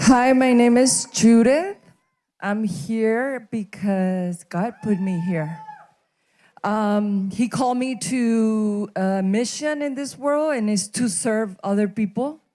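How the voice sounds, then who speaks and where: This woman has a Spanish accent and a fairly high pitch with a dark, mellow tone. She talks at a very slow pace with ordinary pitch variation. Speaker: graduate. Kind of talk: graduation speech.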